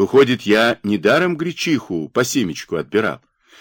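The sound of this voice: Over a quiet background, the words come in an unforced reading voice.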